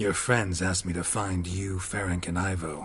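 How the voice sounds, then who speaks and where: Put-on character voice from a man, very deep and low in pitch, deadpan in tone, over clear background noise. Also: moderate pace. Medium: video game. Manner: terse, deadpan.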